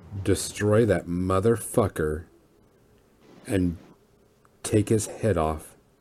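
A man puts on a raspy character voice, very deep and low in pitch, with ordinary pitch variation. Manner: urgent, commanding.

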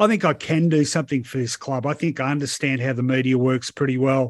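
A man speaks at a fairly quick pace with an Australian accent, his pitch fairly high. The recording is very clean, with a silent background. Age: 50s. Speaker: football journalist. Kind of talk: casual chat.

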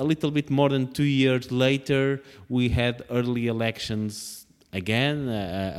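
Here a man speaks with a Portuguese accent at a fairly slow pace. The recording is very clean with a silent background. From Portugal. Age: 30s. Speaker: politician. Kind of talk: interview. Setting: parliament office.

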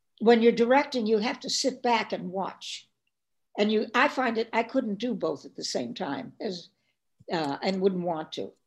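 A woman with a fairly high pitch and vocal fry talks with lively intonation and big swings in loudness. The recording is very clean, with a silent background. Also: moderate pace. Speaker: film director and actress. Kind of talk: interview.

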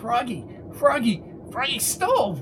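Using a put-on character voice, a man talks at a fairly slow pace in an extremely high pitch with big pitch swings.

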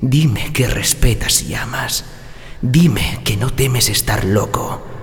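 A man with a theatrical tone speaks at a very slow pace with ordinary pitch variation, with music in the background. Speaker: voice actor. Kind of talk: dramatic character narration, voice-over demo. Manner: theatrical, intimate and coaxing, like a sly seductive character.

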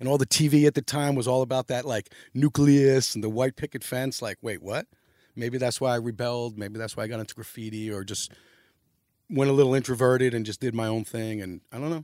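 Delivered at a fairly quick pace with fairly even intonation, the speech is a very clean recording with a silent background and a dry, close sound with no echo. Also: man, medium pitch for a man. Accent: New York. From New York City, downtown Manhattan. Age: 50s. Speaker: graffiti artist and designer. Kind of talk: casual interview.

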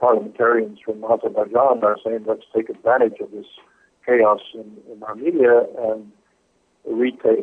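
A man is speaking. His pace is moderate. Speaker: geopolitical analyst and writer. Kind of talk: interview.

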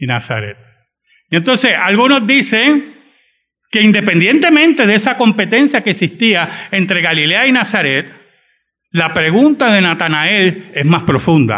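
A man speaks at a fairly slow pace with long, frequent pauses. His pitch is high and swings very widely. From Puerto Rico (San Juan, raised in Bayamón). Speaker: pastor. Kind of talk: sermon.

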